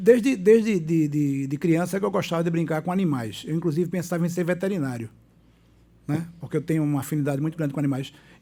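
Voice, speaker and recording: Dark and mellow in tone, a man's fairly high-pitched voice moves at a very fast pace. His pitch varies in an ordinary way. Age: 60s. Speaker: doctor and former city councillor. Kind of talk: casual interview. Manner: halting, repeats words.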